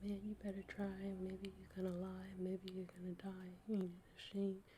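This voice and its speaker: Whispering and soft-spoken, a woman's voice comes across somewhat breathy. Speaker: ASMR creator, hospital worker. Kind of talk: whispered audiobook reading. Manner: whispered, soft, relaxing.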